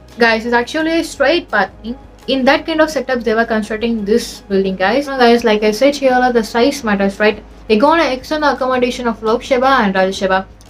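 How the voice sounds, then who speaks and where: Speaking at a fairly quick pace with a non-native accent, a woman talks in a high pitch with ordinary pitch variation. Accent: non-native accent, self-acknowledged. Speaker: educational YouTuber. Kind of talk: explainer video. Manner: casual, conversational with frequent fillers.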